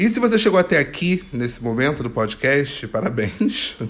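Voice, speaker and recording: A playful man in a Carioca accent, his pitch swinging very widely. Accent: carioca Brazilian Portuguese. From Rio de Janeiro, Brazil. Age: 20s. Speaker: podcast host. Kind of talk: solo casual monologue. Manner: playful, joking.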